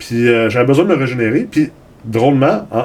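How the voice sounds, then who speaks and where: With a Quebec accent, a man talks at a fairly quick pace and a medium pitch, with ordinary pitch variation, over noticeable background noise. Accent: Québécois French. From Los Angeles, US, raised by Québécois parents. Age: 40s. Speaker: entrepreneur. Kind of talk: interview. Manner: repetitive stammering.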